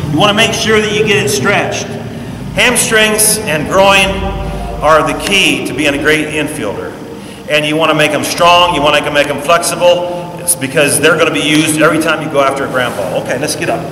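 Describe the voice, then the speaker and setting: A man with a fairly high pitch and ordinary pitch variation speaks fairly quickly amid audible room echo and noticeable background noise. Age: 60s. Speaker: former pro baseball player, coach. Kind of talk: tutorial; sales pitch. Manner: halting, many fillers.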